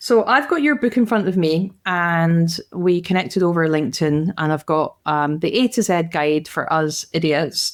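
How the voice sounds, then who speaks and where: A woman's fairly low voice in a strong Scottish accent, at a moderate pace with hardly any pauses, ordinary pitch variation and very even loudness, on a very clean recording with a silent background. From Glasgow, Scotland. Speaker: podcast host. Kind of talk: casual interview.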